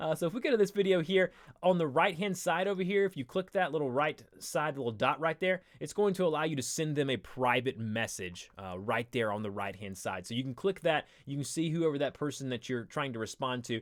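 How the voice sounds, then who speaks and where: The speaker talks in an American accent at a fairly quick pace, with hardly any pauses. The pitch swings very widely. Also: man, fairly high pitch for a man. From US South. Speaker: live stream host. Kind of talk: tutorial. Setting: live stream. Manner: casual, filler-heavy.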